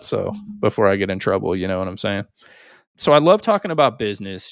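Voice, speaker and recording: In an unremarkable speaking voice, a man talks at a fairly quick pace with fairly low pitch, captured in a very clean recording with a silent background and a dry, close sound with no echo. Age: 40s. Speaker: podcast host and business consultant. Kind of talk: podcast interview.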